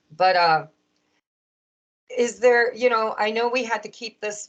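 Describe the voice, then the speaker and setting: A woman with a normal speaking voice. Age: 50s. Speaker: podcast host and tarot reader. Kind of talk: casual interview chat.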